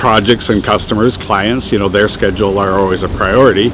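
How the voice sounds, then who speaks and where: Fairly quick male speech amid noticeable background noise. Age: 60s. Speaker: tradesman, construction contractor. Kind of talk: casual interview. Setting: on location in a building in Old Montreal.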